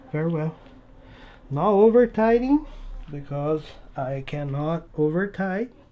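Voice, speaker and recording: In a non-native accent, the speaker goes at a fairly slow pace with long, frequent pauses. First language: not English. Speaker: RC model hobbyist YouTuber. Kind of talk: casual build tutorial. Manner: chatty, talking to himself while working.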